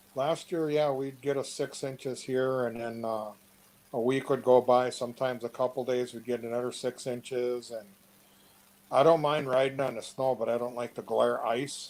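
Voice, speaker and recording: With an Upper Midwest US accent, a man speaks at a moderate pace in a monotone, flat intonation. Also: medium pitch for a man. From Wisconsin, Two Rivers. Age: 60s. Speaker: interviewee. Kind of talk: casual chat. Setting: online live chat.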